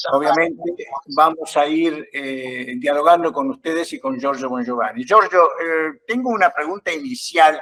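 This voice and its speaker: With lively intonation, a man speaks at a very slow pace in a fairly high pitch. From Uruguay. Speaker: journalist and moderator. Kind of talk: panel interview moderation.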